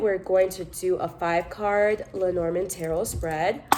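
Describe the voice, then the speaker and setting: A woman talks at a fairly slow pace with noticeable background noise. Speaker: tarot reader. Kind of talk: tarot reading vlog.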